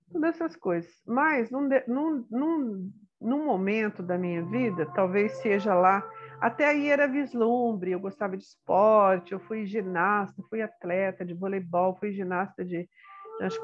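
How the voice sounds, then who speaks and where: Her intonation is lively and her pitch medium. The woman speaks at a fairly slow pace. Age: 60s. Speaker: retired teacher and spiritual therapist. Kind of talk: autobiographical talk. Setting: guest on a program. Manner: halting.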